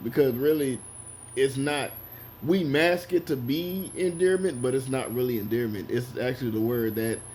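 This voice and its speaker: With a dark, mellow tone and a somewhat breathy quality, a man speaks at medium pitch and a moderate pace, using ordinary pitch variation. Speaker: commentator. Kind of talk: commentary monologue. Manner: quiet, not talkative.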